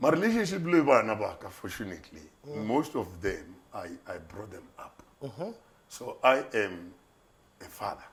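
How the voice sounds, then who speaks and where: A man with a medium-pitched voice and vocal fry talks at a moderate pace, his pitch swinging very widely and his loudness shifting a lot, with long, frequent pauses. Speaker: pastor. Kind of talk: interview answer. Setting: studio.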